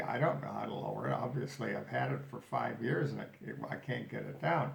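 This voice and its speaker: Through audible room echo, a man with a medium pitch speaks at a moderate pace. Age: 80s+. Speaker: vlogger sharing health journey. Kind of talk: personal video diary. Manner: halting, with fillers and self-corrections.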